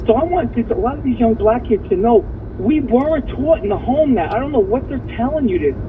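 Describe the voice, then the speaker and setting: A man speaks at an extremely high pitch, his voice swinging very widely up and down. Noticeable background noise runs behind him. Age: 60s. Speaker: caller, Marine Corps veteran. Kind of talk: call-in talk radio. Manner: fast, repetitive and halting.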